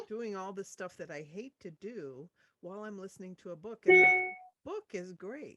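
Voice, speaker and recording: A medium-pitched woman with an American accent at a moderate pace, with ordinary pitch variation and big swings in loudness, music in the background and a dry, close sound with no echo. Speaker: audiobook narrator. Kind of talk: interview answer.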